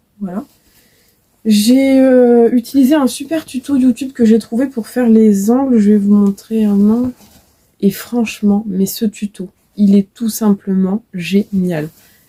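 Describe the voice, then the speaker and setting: In a dry, close recording with no echo, a woman speaks at a very slow pace with a fairly high pitch, a somewhat breathy, dark, mellow tone, and ordinary pitch variation. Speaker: knitting and crochet vlogger. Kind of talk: casual video podcast chat. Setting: home workshop, facing camera. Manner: many filler hesitations.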